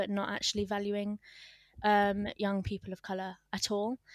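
Monotone, flat intonation from a woman at a fairly quick pace, on a very clean recording with a silent background. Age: young. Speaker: community founder and culture consultant. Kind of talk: casual interview.

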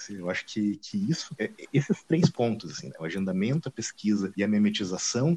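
Over noticeable background noise, a man talks at a moderate pace in a medium pitch with lively intonation, the sound dry and close with no echo. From Paraná, Brazil. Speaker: art history professor. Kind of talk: casual interview. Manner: halting, many fillers.

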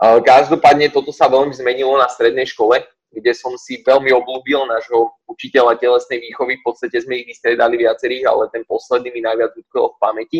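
The sound is dry and close, with no echo. Delivery is monotone and flat at a fairly quick pace. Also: man, medium pitch for a man. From western Slovakia, Partizánske. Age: 20s. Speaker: gym owner and fitness coach. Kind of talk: casual interview. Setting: online call.

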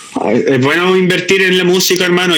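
Against noticeable background noise, a man with a Chilean accent speaks with fairly even intonation. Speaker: beatmaker and former MC. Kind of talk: casual interview chat.

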